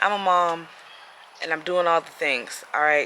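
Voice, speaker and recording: A woman talks with ordinary pitch variation. Noticeable background noise sits behind her. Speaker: vlogger and cancer patient. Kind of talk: casual vlog. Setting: doctor's office.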